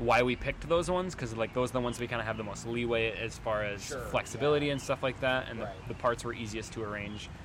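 In an American accent, a man talks at a very fast pace with a medium pitch. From Wisconsin. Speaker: band musician and recording engineer. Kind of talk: casual interview.

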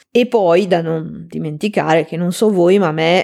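Fairly low for a woman, her pitch sits in an unremarkable speaking voice with fairly even intonation. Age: 40s. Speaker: translator and podcast host. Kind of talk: solo podcast talk.

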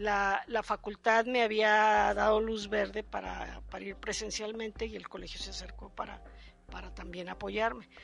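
A woman speaks against a quiet background. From Mexico, San Luis Potosí. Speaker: architect and university lecturer. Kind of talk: interview. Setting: office.

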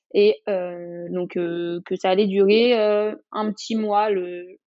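A woman speaks with ordinary pitch variation. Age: 20s. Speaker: social media influencer and mother. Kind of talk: interview testimony.

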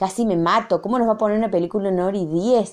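The pitch varies in an ordinary way against a quiet background. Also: woman. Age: 40s. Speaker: university lecturer. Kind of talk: recorded reflection monologue. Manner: halting, many fillers and repetitions.

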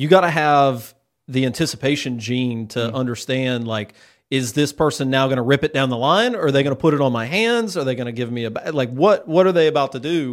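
A man with a medium pitch and ordinary pitch variation speaks in a normal speaking voice on a very clean recording with a silent background. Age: 30s. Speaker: podcast host. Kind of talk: casual interview chat. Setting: studio.

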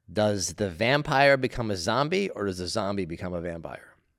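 A man talks in a fairly low pitch, his voice swinging very widely up and down. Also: very clean recording, silent background. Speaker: comedy podcast co-host. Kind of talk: casual comedic banter.

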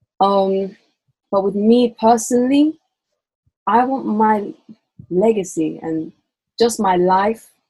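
In a London accent, a woman speaks very slowly with long, frequent pauses, her tone dark, mellow, and somewhat breathy. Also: medium pitch for a woman, ordinary pitch variation. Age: 20s. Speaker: university student. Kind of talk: casual chat.

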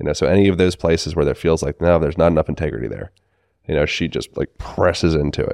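Over a quiet background, a man with a very deep, low pitch and vocal fry speaks at a very fast pace with fairly even intonation, in a dry, close sound with no echo. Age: 30s. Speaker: movement coach and manual therapist. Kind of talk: casual chat.

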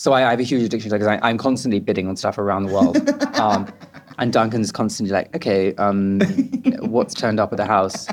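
Fairly quick speech in a southern English accent, with fairly even intonation and music in the background. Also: man, fairly low pitch for a man. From England, suburban town near London. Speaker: artist and designer. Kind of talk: casual chat. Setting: restaurant.

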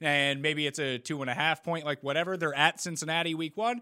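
This man speaks at a very fast pace with an animated tone and a fairly high pitch. His voice has a bright, sharp tone. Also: dry, close sound with no echo. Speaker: podcast host. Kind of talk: casual banter. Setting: video call. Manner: animated, joking.

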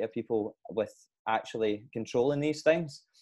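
Using a normal speaking voice, a man at medium pitch speaks at a moderate pace with fairly even intonation. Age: 20s. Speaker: podcast host and personal trainer. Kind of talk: casual interview chat.

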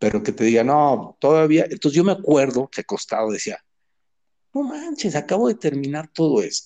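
The voice has a dark, mellow tone and lively intonation at a moderate pace. The sound is dry and close, with no echo. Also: man. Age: 60s. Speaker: illustrator. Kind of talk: casual chat. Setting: call.

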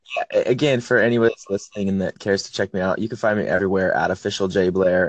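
Heard over a quiet background with a dry, close sound and no echo, a man with an American accent speaks very fast in a fairly low pitch with fairly even intonation. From Portland area, US. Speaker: independent musician. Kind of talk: casual phone interview. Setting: phone call.

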